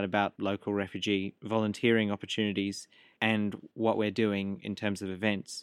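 A man with an Australian accent talks at a moderate pace with a fairly low pitch. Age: 20s. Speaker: student club president, refugee activist. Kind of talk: interview.

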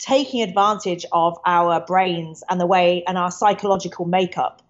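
A woman with a British accent speaks at a moderate pace. Her pitch varies in an ordinary way. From UK. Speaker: misinformation researcher. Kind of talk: interview.

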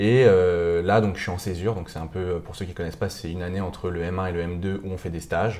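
With audible room echo, a man with a very deep, low pitch and a dark, mellow tone speaks fairly quickly in a flat monotone, hardly pausing. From Paris region, France (Montmorency). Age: 20s. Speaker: student entrepreneur, founder of a media startup. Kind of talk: casual interview. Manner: hesitant, many fillers.

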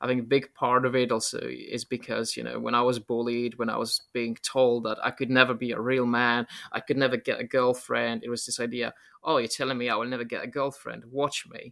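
A man's medium-pitched voice in a Polish accent, bright and sharp in tone, with monotone, flat intonation at a fairly quick pace. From Poland. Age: 30s. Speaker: YouTuber and writer. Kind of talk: casual interview conversation.

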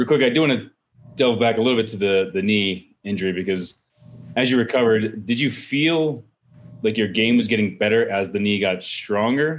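A man's plain, everyday voice at a fairly quick pace, with ordinary pitch variation. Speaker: podcast host. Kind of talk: casual interview.

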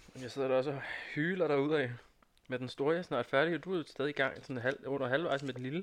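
Fairly high-pitched, a man talks at a very fast pace. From Næstved area, Denmark. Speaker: student. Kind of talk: casual chat. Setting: studio.

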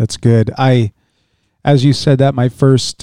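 His tone is dark and mellow, and the intonation stays monotone and flat. This man talks at a fairly slow pace in a dry, close sound with no echo. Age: 30s. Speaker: podcast guest. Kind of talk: casual chat.

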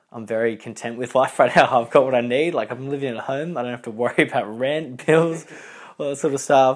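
In a very clean recording with a silent background, a man with an Australian accent talks at a very fast pace with ordinary pitch variation. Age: 20s. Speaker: interviewee. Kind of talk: casual interview. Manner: animated.

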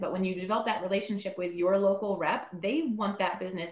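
Over noticeable background noise, a woman speaks very fast at medium pitch with ordinary pitch variation. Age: 40s. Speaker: panelist, promotional products rep. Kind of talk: casual chat.

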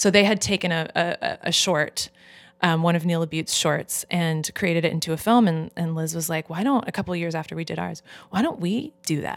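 Pitch varies in an ordinary way in a normal speaking voice. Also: woman. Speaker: actor and filmmaker. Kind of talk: casual chat.

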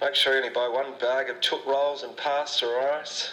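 Calm in tone, a man speaks at a moderate pace against noticeable background noise. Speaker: spoof store manager announcer. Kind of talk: mock airline-style PA announcement. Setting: PA system. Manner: smooth, calm, pilot-like.

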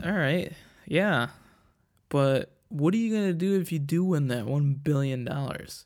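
In a very clean recording with a silent background, a man speaks at a fairly slow pace. His fairly high voice moves with lively intonation. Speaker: podcast host. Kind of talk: casual solo monologue. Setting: home recording on tablet. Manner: crude, joking.

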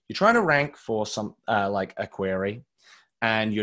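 A man's plain, everyday voice at a medium pitch and a moderate pace, with a quiet background. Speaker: marketing director, SEO expert. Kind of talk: webinar presentation, Q&A answers. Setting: video call webinar.

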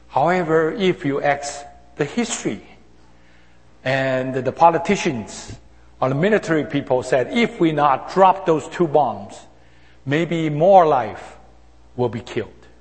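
A man speaks at a fairly slow pace with a fairly high pitch, a somewhat breathy sound, lively intonation, and long, frequent pauses. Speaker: senior pastor. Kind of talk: sermon. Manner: halting, with many hesitations.

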